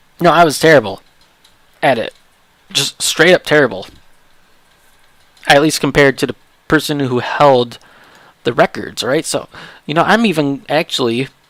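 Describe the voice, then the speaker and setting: A man with a fairly high pitch and ordinary pitch variation speaks at a moderate pace with long, frequent pauses, and the sound is dry and close with no echo. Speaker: gaming streamer. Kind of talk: casual chat. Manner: halting.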